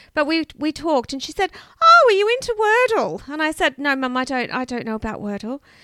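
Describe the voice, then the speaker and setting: In a raised, projected voice, a woman speaks high with very wide pitch swings, the sound dry and close with no echo. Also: fairly quick pace. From Canberra, Australia. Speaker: podcast co-host. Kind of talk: true crime storytelling; casual chat.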